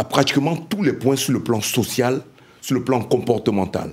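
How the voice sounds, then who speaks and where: Delivered at a very slow pace, the speech has lively intonation. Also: man. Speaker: panelist, diaspora member. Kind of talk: panel debate. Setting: round table with live audience.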